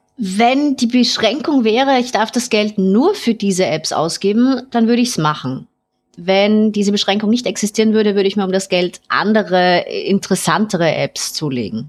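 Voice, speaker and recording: This is an ordinary speaking voice with lively intonation. The pace is moderate. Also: woman, fairly high pitch for a woman. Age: 30s. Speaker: caller. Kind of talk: casual chat.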